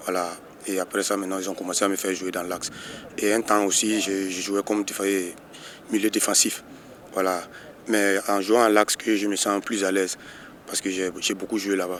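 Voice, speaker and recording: Noticeable background noise sits behind a man speaking at a moderate pace in a fairly low, flat monotone. His pauses are long and frequent. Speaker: footballer, team captain. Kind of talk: interview. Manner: halting, many repetitions.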